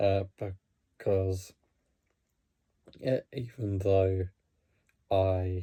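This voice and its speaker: A man's very deep, low voice, dark and mellow and somewhat breathy, flat and monotone at a very slow pace with long, frequent pauses, dry and close with no echo. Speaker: hockey vlogger. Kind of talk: casual talk to camera. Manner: halting, many fillers and restarts; talking really slowly.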